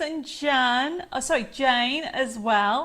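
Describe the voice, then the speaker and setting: Lively intonation in an English accent. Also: woman, very clean recording, silent background. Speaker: craft presenter. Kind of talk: live stream chat. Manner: animated.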